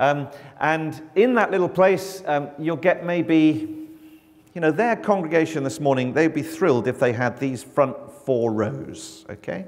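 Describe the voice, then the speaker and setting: A man's fairly high-pitched voice with lively intonation over noticeable background noise. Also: fairly slow pace. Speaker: mission agency communications director. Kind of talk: church mission talk. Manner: loud; projecting.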